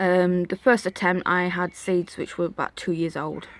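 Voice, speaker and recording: A woman is speaking. Her pitch is fairly low and her pace moderate. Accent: Yorkshire. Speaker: gardening vlogger. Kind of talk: casual garden tour vlog. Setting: outdoors in garden. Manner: chatty, informal.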